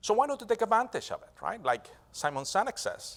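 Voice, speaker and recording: A man with a non-native accent at a fairly quick pace, vocal fry, very wide pitch swings, and a very clean recording with a silent background. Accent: foreign accent in English. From Venezuela. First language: Spanish. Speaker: business and technology strategist, speaker. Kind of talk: keynote speech. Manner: halting, with fillers and repetitions.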